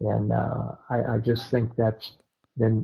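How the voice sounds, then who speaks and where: A somewhat breathy male voice with an American accent at a fairly slow pace. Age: 70s. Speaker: bird hunter. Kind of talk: casual chat. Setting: podcast.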